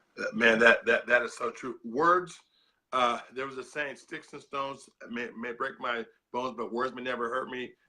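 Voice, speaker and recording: With big swings in loudness, a man talks at a moderate pace in a bright, sharp voice of medium pitch, his intonation fairly even. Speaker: peace ambassador and preacher. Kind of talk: interview. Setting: live video stream. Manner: halting, repeats words.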